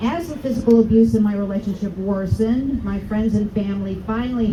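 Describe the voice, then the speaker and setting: A woman with an American accent, medium-pitched and lively in intonation, at a fairly quick pace, with audible room echo and noticeable background noise. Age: 60s. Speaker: rally speaker. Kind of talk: testimony.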